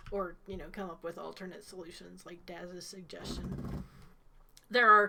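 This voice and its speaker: This woman has an Ohio accent. Her medium-pitched voice has a bright, sharp tone. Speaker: game master. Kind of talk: tabletop game session.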